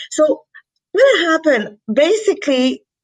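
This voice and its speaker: A woman with a Quebec accent and lively intonation. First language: French. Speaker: company founder and president. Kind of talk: interview. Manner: halting, many fillers.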